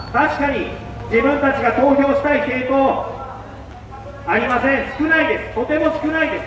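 Pitched extremely high, a man speaks at a moderate pace with fairly even intonation and long, frequent pauses, against light background noise and audible room echo. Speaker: campaign speaker. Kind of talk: street speech. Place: street.

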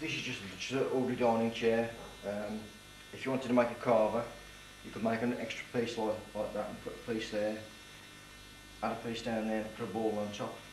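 Fairly quick, monotone and flat speech from a man, with noticeable background noise. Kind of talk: tutorial. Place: workshop. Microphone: camera far.

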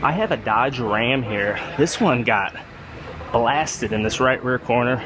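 Noticeable background noise sits behind a man speaking at a moderate pace, the sound dry with no echo. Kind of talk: casual tutorial commentary. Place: workshop. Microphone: phone near.

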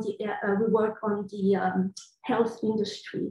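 A woman with a Belgian French accent speaks very slowly at a fairly high pitch, somewhat breathy and in a monotone, flat delivery. The background is quiet, though room echo is audible. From Belgium, Brussels. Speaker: computational linguist. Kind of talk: panel discussion. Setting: video call. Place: home room. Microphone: video call.

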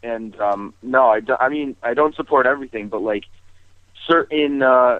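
Over a quiet background, a man talks at a moderate pace with fairly even intonation in a dry sound with no echo. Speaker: radio caller. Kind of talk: call-in discussion. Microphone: phone line.

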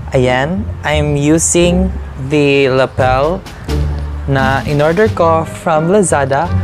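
Clear music in the background behind a man's speech. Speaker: vlogger. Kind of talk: casual unboxing vlog chat. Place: home room. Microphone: lapel.

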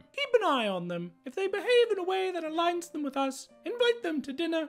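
Over faint music in the background, a woman with an extremely high pitch talks at a fairly quick pace with very wide pitch swings. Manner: imperious, exasperated, calculating.

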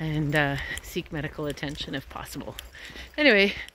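The recording is dry, with no echo. It features a woman's voice. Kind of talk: casual vlog chat. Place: open country. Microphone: phone near.

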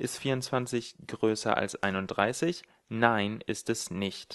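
A man's voice at medium pitch. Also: quiet background. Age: 20s. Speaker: programming tutorial creator. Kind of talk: tutorial.

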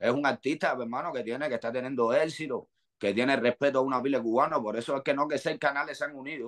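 Against a quiet background, a man with a fairly high pitch talks at a very fast pace with ordinary pitch variation. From Cuba. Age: 40s. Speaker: rapper; guest. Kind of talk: interview. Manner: animated. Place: home room. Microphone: video call.

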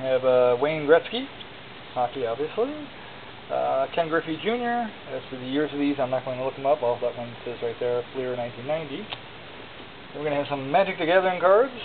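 The speech moves at a fairly quick pace, broken by long, frequent pauses. Noticeable background noise runs underneath. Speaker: auction seller. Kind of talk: auction pitch showing items one by one. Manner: casual, conversational; rambling, with filler words and self-corrections. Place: home room. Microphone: phone near.

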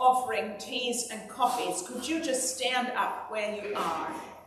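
Over noticeable background noise and audible room echo, a woman speaks in a high voice. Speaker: priest. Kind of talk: church announcements. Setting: church.

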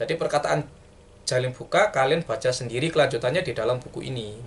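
A man with a mid-range pitch rattles along very fast, his pitch varying in an ordinary way. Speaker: book reviewer. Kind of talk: book review monologue. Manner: casual, hesitant.

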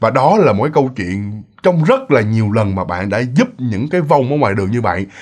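Against a quiet background, a man talks at a fairly quick pace with vocal fry and very wide pitch swings. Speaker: ghost story narrator. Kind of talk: storytelling. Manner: casual, filler-heavy. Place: home room.

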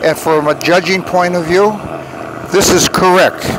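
With a high pitch and fairly even intonation, a man speaks in a dry sound with no echo over noticeable background noise. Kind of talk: interview answer. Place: street.

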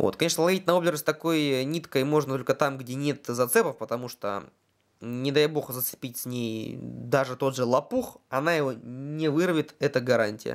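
A man with a medium pitch shows ordinary pitch variation while keeping a moderate pace. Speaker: fishing video blogger. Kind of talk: product review. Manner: hesitant with many fillers.

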